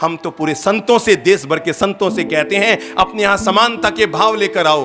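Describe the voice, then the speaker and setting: A man's high-pitched, raised, projected voice over music in the background. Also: ordinary pitch variation. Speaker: Jain monk giving a sermon. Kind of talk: religious sermon (pravachan).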